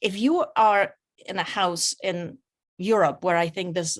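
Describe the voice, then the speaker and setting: A woman speaks with a Polish accent. The recording is very clean with a silent background. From Poland. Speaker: author and clinical geneticist. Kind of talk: reading aloud; interview. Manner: halting.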